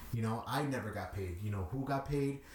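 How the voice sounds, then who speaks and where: A man talks at a fairly quick pace with a Chicago accent. Noticeable background noise runs behind him. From Chicago, Little Village. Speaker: DJ. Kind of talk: interview.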